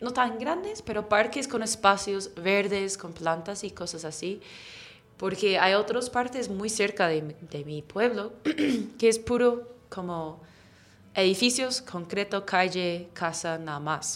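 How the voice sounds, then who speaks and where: A woman's medium-pitched voice at a very slow pace, with lively intonation, big swings in loudness, and noticeable background noise. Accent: English. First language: English (speaking Spanish). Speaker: English teacher. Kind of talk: interview.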